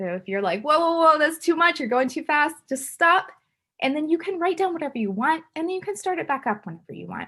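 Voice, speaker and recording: A woman talks at a fairly quick pace in a raised, projected voice with a bright, sharp tone and high pitch. Her pitch swings very widely and her loudness shifts in big swings. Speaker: chemistry instructor. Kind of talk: lecture. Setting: recorded video lecture. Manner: fast.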